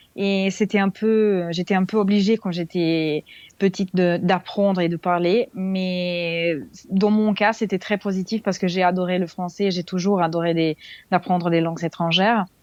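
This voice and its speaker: In a Serbian accent, a woman speaks at a medium pitch and a fairly slow pace with monotone, flat intonation against a quiet background. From Serbia, Belgrade. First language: Serbian (speaking French). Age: 20s. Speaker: expat interviewee. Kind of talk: podcast interview. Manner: halting, many hesitations.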